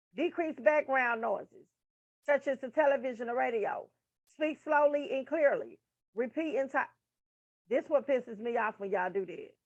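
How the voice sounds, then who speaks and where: Loud and lively in intonation, a woman speaks at a moderate pace in a high pitch. She leaves long, frequent pauses. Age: 30s. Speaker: nursing tutor. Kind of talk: casual lecture reading from a textbook.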